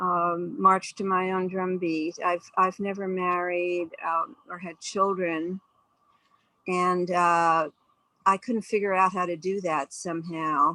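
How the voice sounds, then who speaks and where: Bright, sharp tone from a woman with an American accent at a fairly low pitch, fairly even intonation, very slow pace. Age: 70s. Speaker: class participant. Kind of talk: group share in online class.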